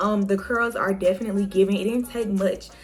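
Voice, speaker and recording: At a fairly quick pace, a woman with medium pitch talks over background music, her intonation fairly even. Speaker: beauty vlogger. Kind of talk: tutorial. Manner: fast.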